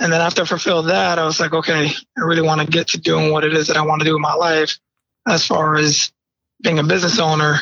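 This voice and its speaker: At a very fast pace, a man talks in a fairly high pitch with an American accent. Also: fairly even intonation. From Bridgeport, Connecticut, US. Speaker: real estate investor, Marine veteran. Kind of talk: interview.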